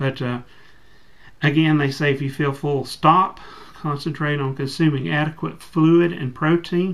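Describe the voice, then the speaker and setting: A man with an unremarkable speaking voice talks at a fairly slow pace. His pitch is fairly high, and his intonation stays fairly even. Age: 40s. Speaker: bariatric surgery patient. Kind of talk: reading aloud from instructions.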